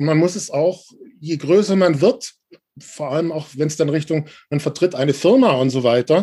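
At a moderate pace, a man with a plain, everyday voice talks at a fairly high pitch with ordinary pitch variation. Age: 40s. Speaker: journalist and organizational change consultant. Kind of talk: interview.

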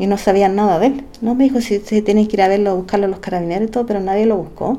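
In a plain, everyday voice, a woman speaks at a fairly quick pace and medium pitch with ordinary pitch variation. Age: 40s. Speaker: special education teacher. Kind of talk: testimony.

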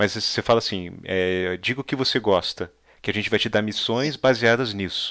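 A man with an unremarkable speaking voice talks at a moderate pace, his fairly low pitch moving with ordinary variation. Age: 30s. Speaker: podcast host. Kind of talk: casual interview.

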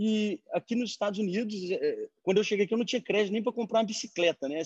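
A man's voice comes through dry and close, with no echo. The background is quiet. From Brazil, Belo Horizonte. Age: 30s. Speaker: beverage entrepreneur. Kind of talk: online panel discussion.

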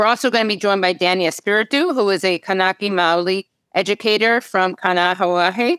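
Heard on a very clean recording with a silent background and a dry, close sound with no echo, a woman speaks at a medium pitch. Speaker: podcast host. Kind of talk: interview. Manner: enthusiastic.

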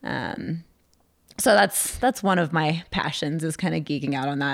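Very clean, with a silent background, this recording has a woman speaking with an American accent. Her voice is very deep and low, with vocal fry. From California. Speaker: climbing nonprofit director. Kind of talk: casual chat.

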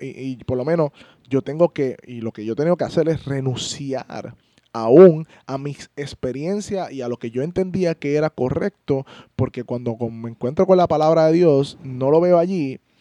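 A man speaks at a fairly slow pace in a fairly high pitch, with a dark, mellow tone and ordinary pitch variation. His loudness swings widely, and the sound is dry and close with no echo. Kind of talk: casual Bible discussion.

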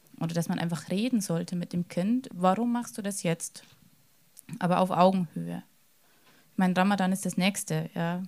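A somewhat breathy woman's voice with long, frequent pauses. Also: medium pitch for a woman, fairly even intonation, moderate pace. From Lower Bavaria, Germany. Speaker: secondary school teacher. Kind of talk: panel discussion.

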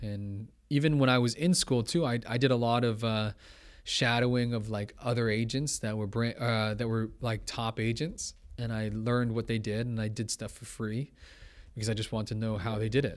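An ordinary speaking voice with a Canadian accent comes through at a moderate pace on a very clean recording with a silent background. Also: man, medium pitch for a man. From Toronto, Canada. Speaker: entrepreneur and real estate agent. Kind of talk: interview conversation. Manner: casual, many fillers.

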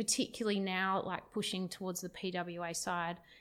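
A woman speaks with an Australian accent at a medium pitch. The recording is very clean, with a silent background. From Perth, Western Australia. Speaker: tech company CTO. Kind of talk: casual interview.

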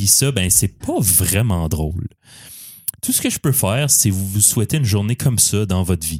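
With a Quebec accent, a man talks at a fairly low pitch, somewhat breathy, with lively intonation. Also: moderate pace. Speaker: podcast host. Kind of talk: casual chat.

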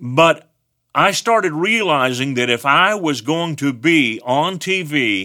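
A bright, sharp voice with a West Texas accent and lively intonation. The recording is very clean, with a silent background. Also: man. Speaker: teacher. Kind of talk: sermon.

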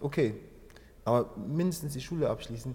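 His voice is somewhat breathy, with a dark, mellow tone and a fairly high pitch for a man. He moves at a moderate pace with lively intonation. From Angola, grew up in Germany from age 7. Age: 30s. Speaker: dancer and founder of a hip-hop organisation. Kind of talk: interview. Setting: dance studio. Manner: halting, many fillers.

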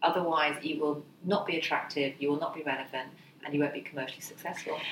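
Speech comes at a fairly quick pace with fairly even intonation. Noticeable background noise is present. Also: woman. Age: 40s. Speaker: career mentor. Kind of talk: podcast interview.

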